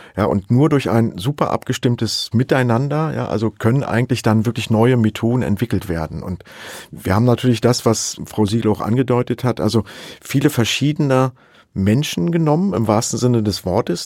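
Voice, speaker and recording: With a dry, close sound and no echo, a man speaks in a normal speaking voice at a medium pitch and moderate pace, using ordinary pitch variation. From Saxony. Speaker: professor of digital forensics. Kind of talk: interview.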